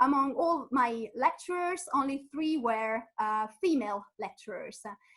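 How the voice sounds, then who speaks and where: A woman speaks in an Italian accent. Her high-pitched voice has lively intonation. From Italy. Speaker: physicist and science communicator. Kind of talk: webinar presentation. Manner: halting, many fillers.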